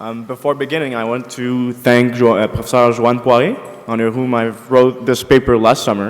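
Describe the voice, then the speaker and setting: Over background music, a man with a Quebec accent talks at a medium pitch and moderate pace in a flat monotone. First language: French. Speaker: law student presenting essay. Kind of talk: conference paper presentation. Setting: conference, seated with microphone.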